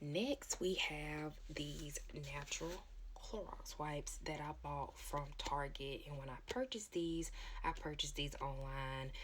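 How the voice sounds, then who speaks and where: A woman whispers at a fairly slow pace. Room echo is audible around her. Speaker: product review vlogger. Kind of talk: product review. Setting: at home. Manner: whispering; casual, hesitant with ums.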